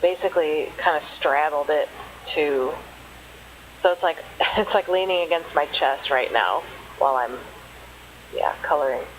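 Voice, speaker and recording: A woman's very deep, low voice with ordinary pitch variation and very even loudness, at a moderate pace with long, frequent pauses amid noticeable background noise. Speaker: author and hobby artist. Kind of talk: casual voice-over for art supply unboxing. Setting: low-quality home microphone. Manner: hesitant, casual, many fillers.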